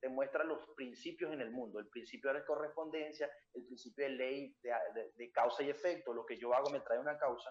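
Using a plain, everyday voice, a man talks at a fairly quick pace with a fairly high pitch and ordinary pitch variation. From Venezuela. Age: 20s. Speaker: reading coach and entrepreneur. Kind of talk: interview.

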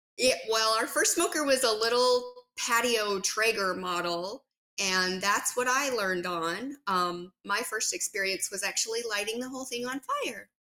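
Speaking at a moderate pace with a western US accent, a woman uses a fairly high pitch and ordinary pitch variation. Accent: western American. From US West, southern Utah. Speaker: barbecue pitmaster. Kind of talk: interview.

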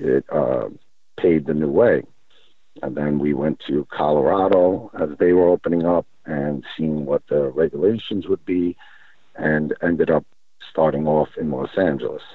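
Speaking at a fairly slow pace, a man with an American accent uses a very deep, low pitch and fairly even intonation. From New York. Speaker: vape company founder. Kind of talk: interview.

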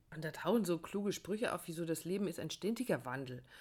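A woman's fairly low voice at a very fast pace, full of very wide pitch swings, on a very clean recording with a silent background. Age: 50s. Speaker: relationship podcast host and coach. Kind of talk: casual chat.

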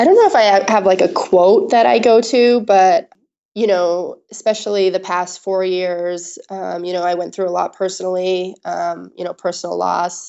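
Speaking at a moderate pace with fairly even intonation, a woman with an American accent has an ordinary speaking voice at a medium pitch. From US, Maine. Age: 30s. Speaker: Olympic luge athlete. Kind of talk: interview.

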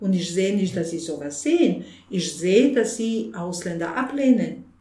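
A woman with a Bosnian accent speaks at a fairly slow pace and medium pitch, with very wide pitch swings. Audible room echo and noticeable background noise surround her voice. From Bosnia, Sarajevo. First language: Bosnian (speaking German). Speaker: refugee aid organizer. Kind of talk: interview. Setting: office of aid organization.

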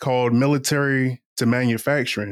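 A man with a medium-pitched voice talks at a moderate pace in an unremarkable speaking voice, recorded dry and close with no echo against a silent background on a very clean track. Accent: American. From Eastern Shore of Virginia, US. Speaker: professional oyster shucker and podcaster, Army veteran. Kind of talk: casual interview.

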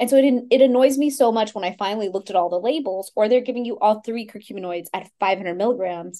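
Talking at a very fast pace, a woman with a Texas accent has a fairly high pitch, a dark, mellow tone and ordinary pitch variation. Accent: American, Texas. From Texas, Houston. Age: 40s. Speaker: Ayurvedic practitioner. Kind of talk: interview.

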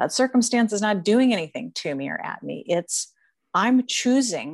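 A woman uses a normal speaking voice at a moderate pace with lively intonation. The sound is dry and close with no echo, over a quiet background. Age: 50s. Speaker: speaker and teacher on anxiety and joy. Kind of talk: interview.

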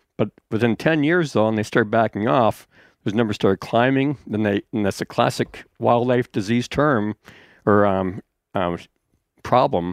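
Heard in a very clean recording over a silent background, a man with a normal speaking voice talks at medium pitch and a moderate pace, with ordinary pitch variation. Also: dry, close sound with no echo. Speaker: outdoor writer. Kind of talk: casual chat.

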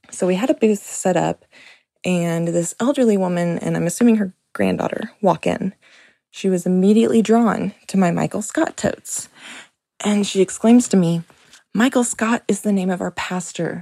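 A dark, mellow tone with lively intonation comes through in a dry, close sound with no echo. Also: woman. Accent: American. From US Midwest. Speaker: artist, listener caller. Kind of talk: storytelling voicemail.

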